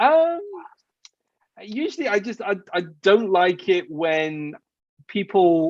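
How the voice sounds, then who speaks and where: Speaking with an English accent, a man with a high voice talks at a very slow pace, using very wide pitch swings and long, frequent pauses. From England. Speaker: software engineer and startup CTO. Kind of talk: interview. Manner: halting, many repeated words and restarts.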